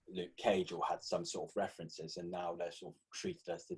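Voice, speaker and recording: Speaking fairly briskly, a man talks in a British accent. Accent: non-American, British. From Britain. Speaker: podcast host. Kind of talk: casual chat.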